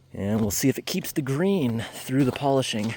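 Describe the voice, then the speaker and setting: A man speaks over noticeable background noise. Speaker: vlogger exploring mines. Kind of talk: casual vlog narration. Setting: outdoors.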